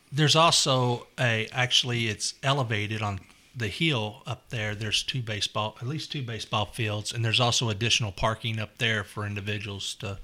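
A man's bright, sharp voice in a Kentucky accent at a fairly quick pace, on a very clean recording with a silent background. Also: medium pitch for a man, ordinary pitch variation, hardly any pauses. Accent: Kentucky Southern US. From Louisville, Kentucky. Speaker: neighborhood resident. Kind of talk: casual chat.

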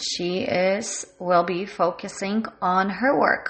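A woman at medium pitch keeps her intonation fairly even as she talks. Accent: non-native. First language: not English (bilingual). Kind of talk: guided check-in, reflective monologue. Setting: home recording during lockdown, working from home.

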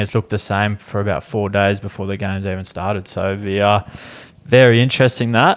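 With an Australian accent, a man speaks at a fairly low pitch. His delivery is fairly quick and in a monotone, flat intonation. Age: 20s. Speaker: podcast co-host and cricketer. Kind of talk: casual chat. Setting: studio.

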